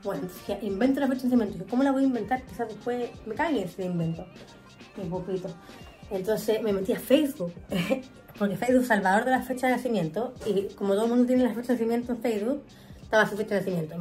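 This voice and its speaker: A woman talks at a very fast pace with ordinary pitch variation while faint music plays in the background. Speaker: vlogger. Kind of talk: casual vlog chat, storytelling. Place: home room. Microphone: phone near.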